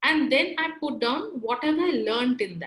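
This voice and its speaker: Speaking at a fairly slow pace, a woman with a Bengali accent uses a high pitch and lively intonation. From India, Kolkata. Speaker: career trainer. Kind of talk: webinar lecture. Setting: online webinar.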